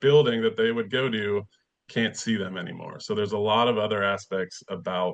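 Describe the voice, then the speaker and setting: The man's intonation is fairly even and his pitch fairly low. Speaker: nonprofit energy program leader. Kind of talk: webinar presentation. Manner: fast.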